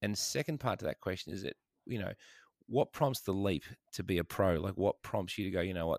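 Fairly low-pitched man with an Australian accent, fairly quick pace, ordinary pitch variation, dry, close sound with no echo, very clean recording and silent background. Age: old. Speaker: podcast host. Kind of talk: casual chat.

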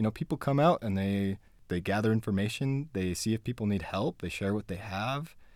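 At a moderate pace, a man talks in a fairly low pitch with an unremarkable speaking voice. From Utah. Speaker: community activist and organizer. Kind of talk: interview.

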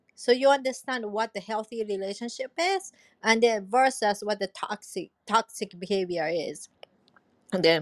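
A woman speaks in an ordinary speaking voice at a moderate pace, her fairly high pitch showing ordinary variation in a dry, close sound with no echo. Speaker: podcast host. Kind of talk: casual chat.

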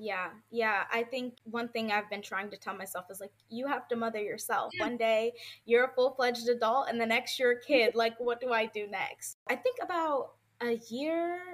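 Keeping a moderate pace and ordinary pitch variation, this is an ordinary speaking voice. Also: woman. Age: 20s. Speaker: podcast guest. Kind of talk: casual chat.

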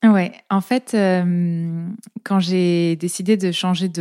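Her voice medium in pitch, a woman speaks with a dark, mellow tone. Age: 30s. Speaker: naturopath and podcaster. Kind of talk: casual interview.

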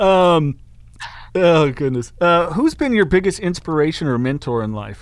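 A man with a plain, everyday voice speaks at a moderate pace, his pitch fairly high and his intonation lively, in a very clean recording with a silent background. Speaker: podcast host. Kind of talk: casual interview.

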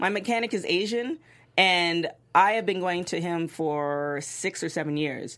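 A woman with a normal speaking voice uses a fairly low pitch and lively intonation. The recording is very clean, with a silent background. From Toronto, Canada. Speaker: TV recap panelist. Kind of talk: casual panel discussion.

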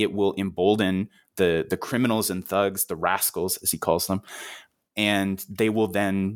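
An ordinary speaking voice from a man, fairly low in pitch, with fairly even intonation at a moderate pace. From Canada. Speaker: historian. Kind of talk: interview.

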